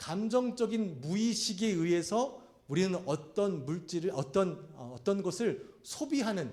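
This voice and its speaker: A high-pitched man with lively intonation, in audible room echo. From Korea, South Chungcheong. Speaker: pastor. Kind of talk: sermon.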